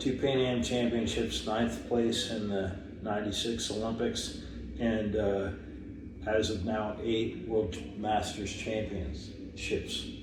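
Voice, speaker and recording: A man with an American accent speaks very slowly in a fairly low voice with fairly even intonation. The recording has audible room echo and noticeable background noise. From United States. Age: 70s. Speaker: masters track cyclist, former Olympian. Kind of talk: casual interview. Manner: halting, many fillers.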